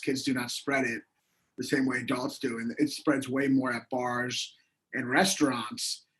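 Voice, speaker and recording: A man's fairly high-pitched voice, with ordinary pitch variation, proceeds at a moderate pace. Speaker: comedian. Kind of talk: casual chat. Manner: loud.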